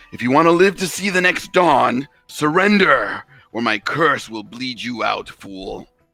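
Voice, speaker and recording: Shouting in a put-on character voice over music in the background, a man speaks at a moderate pace and fairly high pitch, with very wide pitch swings and big swings in loudness. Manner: yelling, threatening.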